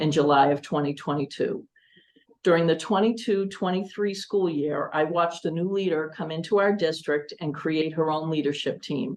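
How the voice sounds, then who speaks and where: At a moderate pace, a woman with an American accent and a plain, everyday voice talks at a fairly low pitch with ordinary pitch variation. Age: 60s. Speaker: school committee candidate. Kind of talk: candidate forum statement. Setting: public forum. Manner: formal.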